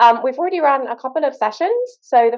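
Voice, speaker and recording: Using lively intonation, a woman with a British accent talks at a fairly quick pace. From Britain. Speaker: postdoctoral researcher, workshop co-host. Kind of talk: workshop introduction talk.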